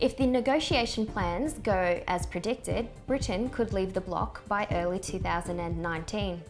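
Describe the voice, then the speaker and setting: A woman's medium-pitched voice at a moderate pace, lively in intonation, with music in the background. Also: hardly any pauses. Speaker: news presenter / journalist. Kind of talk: news broadcast reading. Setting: studio.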